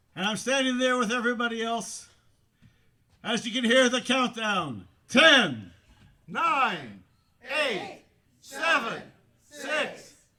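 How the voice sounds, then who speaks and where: A man speaks very slowly, with long, frequent pauses, in a raised, projected voice. His pitch is extremely high, with ordinary variation. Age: 60s. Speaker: storyteller. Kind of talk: storytelling.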